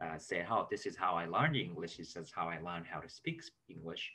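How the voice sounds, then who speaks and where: Speaking at a very slow pace, a man has a bright, sharp tone. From Japan. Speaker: language teacher. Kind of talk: tutorial. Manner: hesitant, many fillers. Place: home room. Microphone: webcam.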